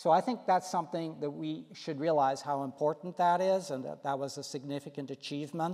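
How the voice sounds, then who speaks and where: Talking at a fairly quick pace with hardly any pauses, a man has a dark, mellow tone, a fairly high pitch and ordinary pitch variation. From Belgium, French-speaking Brussels area. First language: French. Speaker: city council candidate. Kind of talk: candidate forum answer.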